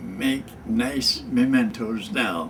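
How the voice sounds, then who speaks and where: With an American accent, the voice goes at a very slow pace and fairly even intonation amid noticeable background noise. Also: man. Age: 80s+. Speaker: war veteran. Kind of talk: casual talk to camera. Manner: slow, halting.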